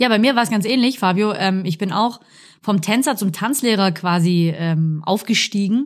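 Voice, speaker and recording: A woman with an unremarkable speaking voice talks at a moderate pace and medium pitch, with ordinary pitch variation. Her loudness stays very even on a very clean recording with a silent background. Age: 30s. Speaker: dance teacher, podcast co-host. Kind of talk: casual chat. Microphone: professional podcast microphone.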